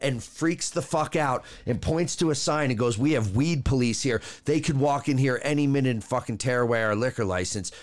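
A plain, everyday voice, a man's at medium pitch, fairly quick, with ordinary pitch variation and very even loudness. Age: 30s. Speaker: podcast co-host. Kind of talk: casual chat.

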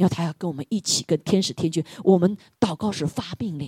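Somewhat breathy and dark, mellow in tone, a woman talks at a moderate pace in a dry, close sound with no echo. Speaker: preacher leading prayer. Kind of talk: sermon with fervent prayer. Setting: church. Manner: fervent, urgent, repetitive exhortation; animated, rallying the congregation.

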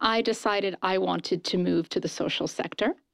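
A woman speaks at a moderate pace with vocal fry, on a very clean recording with a silent background and a dry, close sound with no echo. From raised in New Zealand, Singapore, Malaysia and Japan. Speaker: nonprofit fundraising executive. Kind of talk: interview.

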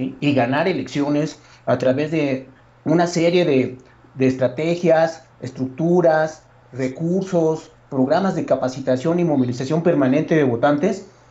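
Fairly high in pitch yet dark and mellow in tone, a man speaks at a fairly slow pace with fairly even intonation. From State of Mexico. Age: 50s. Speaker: political analyst. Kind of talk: political analysis conversation. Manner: formal.

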